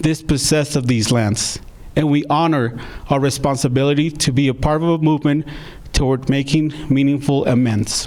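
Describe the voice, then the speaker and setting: A man's fairly high voice, an unremarkable speaking voice, at a moderate pace with fairly even intonation. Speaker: theater partnerships and project manager. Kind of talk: live-streamed event hosting.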